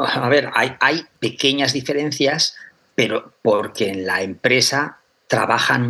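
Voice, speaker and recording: With ordinary pitch variation, an unremarkable speaking voice proceeds fairly slowly. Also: man. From Aragón, Spain. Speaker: chemistry professor. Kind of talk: interview.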